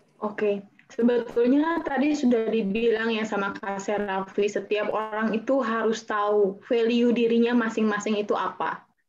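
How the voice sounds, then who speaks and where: A woman talks with hardly any pauses. Her pitch is fairly high. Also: fairly even intonation, moderate pace. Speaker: actress and beauty pageant winner. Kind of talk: talk show panel. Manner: hesitant with fillers.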